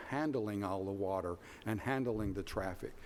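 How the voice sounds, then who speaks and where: A man with a Tennessee accent. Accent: Southern US (Tennessee). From Middle Tennessee, US South. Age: 70s. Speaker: planning commission chair. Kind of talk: public meeting remarks.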